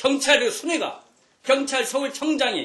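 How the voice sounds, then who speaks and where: A man with an extremely high pitch uses a raised, projected voice over noticeable background noise. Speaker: politician. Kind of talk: political speech. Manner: fast; animated.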